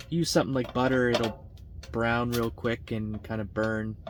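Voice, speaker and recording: With noticeable noise behind him, a man at a medium pitch keeps a moderate pace and shows ordinary pitch variation. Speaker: outdoor vlogger. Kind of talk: casual vlog narration. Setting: outdoors.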